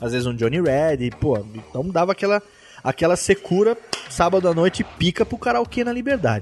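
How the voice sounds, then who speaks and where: The voice swings very widely in pitch. Noticeable background noise runs underneath. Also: man. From interior of São Paulo state, Brazil. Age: 30s. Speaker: podcaster. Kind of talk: casual chat.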